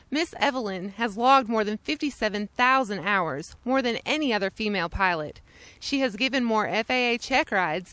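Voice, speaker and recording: Over a silent background on a very clean recording, a plain, everyday voice moves at a fairly quick pace with lively intonation. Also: woman. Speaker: interviewer. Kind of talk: documentary narration.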